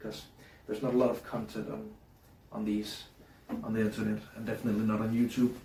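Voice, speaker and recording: Audible room echo surrounds a man who talks very fast with a Danish accent. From Denmark. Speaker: hobbyist YouTuber. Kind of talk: casual tutorial. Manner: halting, many fillers.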